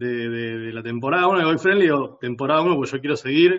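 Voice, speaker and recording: This is a man speaking with a Rioplatense accent. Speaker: podcast host. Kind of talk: casual chat.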